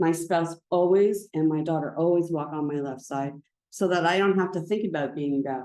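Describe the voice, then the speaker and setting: A woman's fairly low voice, dark and mellow in tone, with fairly even intonation at a moderate pace. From Canada. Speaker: shamanic healer, speaker. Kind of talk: personal testimony talk. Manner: sometimes unsure of own pitch; halting, with fillers.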